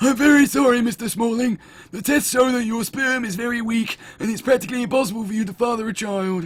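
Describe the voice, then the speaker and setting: A man rattles along at a very fast pace in a put-on character voice at an extremely high pitch. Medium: game stream. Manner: formal, polite, deadpan.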